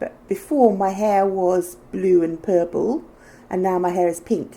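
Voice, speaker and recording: In a British accent, a woman with a medium pitch and a dark, mellow tone talks at a fairly slow pace with ordinary pitch variation. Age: 60s. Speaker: fashion vlogger. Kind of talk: casual chat. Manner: animated.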